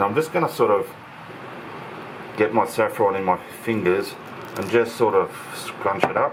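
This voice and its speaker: A man with a fairly low pitch and ordinary pitch variation at a moderate pace, with long, frequent pauses over noticeable background noise. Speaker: home cooking channel host. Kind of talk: cooking tutorial. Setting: home kitchen. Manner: loud.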